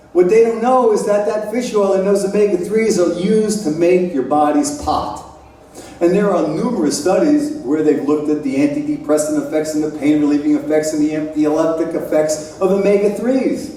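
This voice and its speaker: With an American accent, a man talks fairly quickly in a high voice with very wide pitch swings, amid noticeable background noise and audible room echo. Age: 60s. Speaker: scientist lecturer. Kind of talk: lecture.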